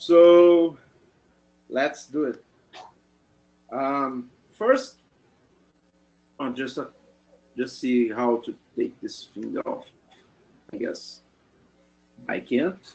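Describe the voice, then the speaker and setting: A man with a non-native accent at a very slow pace, with long, frequent pauses. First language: not English. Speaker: presenter. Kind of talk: presentation. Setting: video call. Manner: halting.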